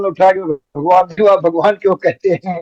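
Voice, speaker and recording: A man with a high pitch is heard in a dry, close sound with no echo. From Uttar Pradesh, India. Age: 80s+. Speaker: spiritual teacher and author. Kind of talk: interview answer.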